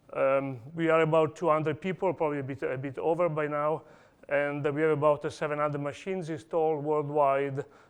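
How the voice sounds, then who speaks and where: A man's fairly high voice, fairly quick and monotone with flat intonation, over a quiet background. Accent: Italian. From Italy. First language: Italian. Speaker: industry engineer presenting at a conference. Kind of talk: conference talk. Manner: hesitant, many fillers.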